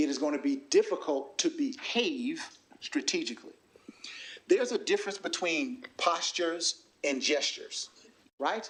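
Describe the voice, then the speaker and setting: A man speaks with a Southern US accent at a moderate pace. His pauses are long and frequent. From US South, South Carolina. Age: 40s. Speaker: workshop facilitator. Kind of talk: workshop presentation.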